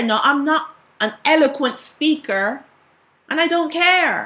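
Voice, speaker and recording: A woman speaks in a raised, projected voice with ordinary pitch variation. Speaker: bible teacher. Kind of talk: bible teaching. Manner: passionate, sometimes strong.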